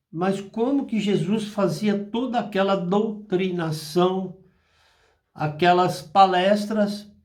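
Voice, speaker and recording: A man at a high pitch, very slow and fairly even in intonation, with audible room echo. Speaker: spiritist apometry channel host. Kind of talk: spiritual talk. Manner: slower than usual today.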